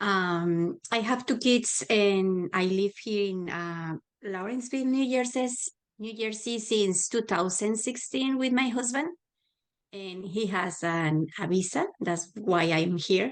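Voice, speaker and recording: Speaking very slowly, a woman with a Spanish accent uses lively intonation. Her pitch is medium and the background is quiet. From Mexico, Guadalajara. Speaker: adult learner and volunteer tutor. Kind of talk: panel self-introduction.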